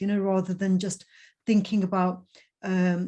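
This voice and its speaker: Somewhat breathy female speech in a dark, mellow tone. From Punjab. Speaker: conference host. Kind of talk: casual chat.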